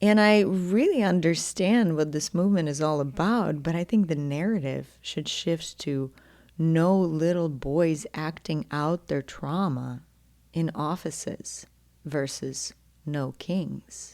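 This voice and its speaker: In a very clean recording with a silent background, a woman with a slight Ukrainian accent speaks at a very slow pace, her dark, mellow voice fairly low-pitched with ordinary pitch variation. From Ukraine. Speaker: podcast host, intimacy coach. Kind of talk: solo podcast monologue.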